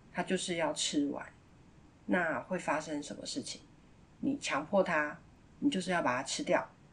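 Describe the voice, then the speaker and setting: Somewhat breathy and fairly low-pitched, a woman speaks at a moderate pace with very wide pitch swings and long, frequent pauses. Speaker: parenting podcast host. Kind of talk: casual monologue.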